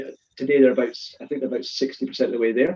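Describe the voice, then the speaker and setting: A man with a Scottish accent speaks at a medium pitch with fairly even intonation. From Scotland. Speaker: supply chain consultant. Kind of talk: webinar panel talk. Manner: fast.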